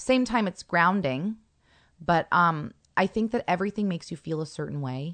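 A woman with an American accent and an unremarkable speaking voice talks at a moderate pace in a fairly low pitch with lively intonation. The sound is dry and close with no echo, over a quiet background. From Northern California (Carmel). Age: 40s. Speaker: actor. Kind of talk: casual chat.

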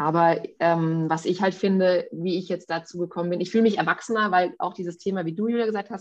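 With a quiet background, a woman talks at a moderate pace, fairly low in pitch and with fairly even intonation. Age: 40s. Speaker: podcast co-host, mother. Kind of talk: casual chat.

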